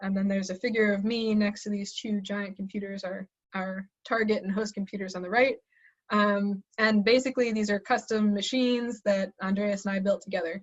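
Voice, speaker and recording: A woman talks at a fairly quick pace with monotone, flat intonation. Her voice is somewhat breathy and medium in pitch. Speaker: assistant professor. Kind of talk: webinar lecture. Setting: online webinar. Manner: fast; hesitant with fillers.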